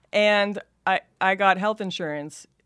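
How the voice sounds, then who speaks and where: In an American accent, a woman talks at a fairly slow pace with ordinary pitch variation against a quiet background. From Los Angeles, Van Nuys. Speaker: comedian and actress. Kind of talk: casual chat.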